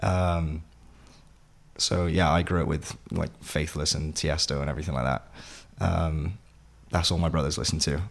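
A man with a South Wales accent speaks at a very deep, low pitch with vocal fry. His intonation stays fairly even, broken by long, frequent pauses. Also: moderate pace. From Wales, Vale of Glamorgan (Sully, near Penarth). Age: 20s. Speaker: actor. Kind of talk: interview.

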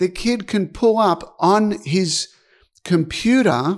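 Ordinary pitch variation runs through this man's speech in an Australian accent. The recording is very clean, with a silent background. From Australia (Albury, NSW). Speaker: tennis strategy analyst and coach. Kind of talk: interview.

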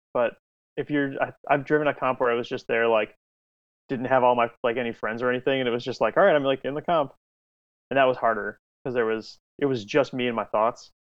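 A man with an American accent and a normal speaking voice, medium pitch, fairly even intonation and a fairly quick pace. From Illinois, Chicago area. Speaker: amateur drift racer and automotive instructor. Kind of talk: casual chat.

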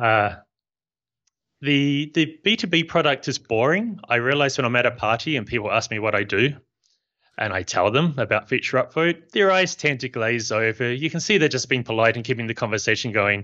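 Lively intonation marks a man speaking at a fairly quick pace and medium pitch. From New Zealand. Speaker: software company founder. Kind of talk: interview.

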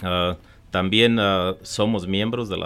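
A man with an unremarkable speaking voice, fairly low in pitch, with ordinary pitch variation. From Michoacán, Mexico. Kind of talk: radio interview.

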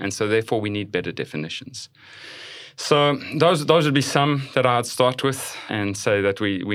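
A man speaks with a South African accent in a very clean recording with a silent background. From South Africa, Johannesburg. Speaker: pastor. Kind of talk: casual chat.

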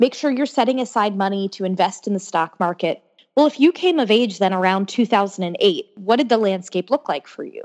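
Speaking at a moderate pace with lively intonation, a woman with an American accent has a medium pitch and an unremarkable speaking voice, recorded dry and close with no echo. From Florida (Orlando). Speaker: pollster and political commentator. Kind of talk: interview.

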